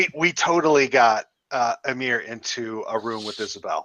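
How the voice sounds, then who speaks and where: In a put-on character voice, a man sounds raspy at a medium pitch, speaking at a moderate pace with ordinary pitch variation. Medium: actual play. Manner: genial, chatty.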